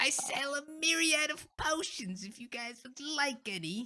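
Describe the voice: A put-on character voice, high and creaky, at a moderate pace.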